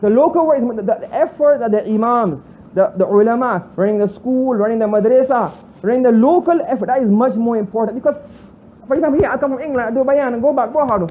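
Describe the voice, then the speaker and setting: A man with a Bajan accent talks very fast in an extremely high pitch with ordinary pitch variation, over noticeable background noise. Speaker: Islamic scholar. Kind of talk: religious lecture.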